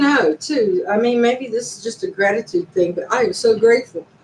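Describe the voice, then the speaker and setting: A woman talks at a moderate pace with lively intonation. Noticeable background noise sits behind her. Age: 60s. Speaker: YouTuber. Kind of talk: casual live stream monologue.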